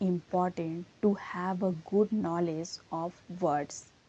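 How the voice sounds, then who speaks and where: Speaking with an Indian accent, a woman has a dark, mellow tone at medium pitch. Her pace is very slow. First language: Hindi. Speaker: English teacher. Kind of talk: tutorial.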